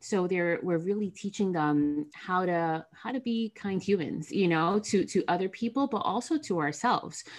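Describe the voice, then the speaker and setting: Over a quiet background, a woman with a normal speaking voice talks at a moderate pace with lively intonation and hardly any pauses. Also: medium pitch for a woman. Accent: American. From New Jersey, US. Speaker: counselor. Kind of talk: podcast interview.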